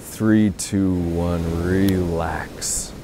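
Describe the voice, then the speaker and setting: There is light background noise as a man speaks with fairly even intonation. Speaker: meditation guide. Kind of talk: guided meditation. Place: beach.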